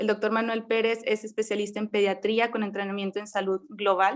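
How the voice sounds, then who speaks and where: A woman in a northern Mexican accent talks at a fairly high pitch with monotone, flat intonation. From Mexico, Monterrey, Nuevo León. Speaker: medical resident and forum moderator. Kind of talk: formal introductions of panelists. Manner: formal.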